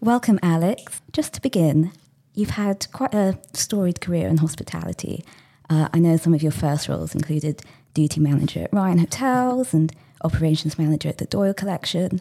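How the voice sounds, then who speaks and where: An unremarkable speaking voice from a woman, fairly low in pitch, with lively intonation and a fairly quick pace. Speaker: podcast host. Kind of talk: casual interview conversation.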